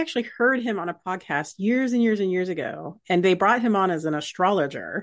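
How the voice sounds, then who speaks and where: A woman with an unremarkable speaking voice talks at a moderate pace, her intonation lively. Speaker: podcast host. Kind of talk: casual interview.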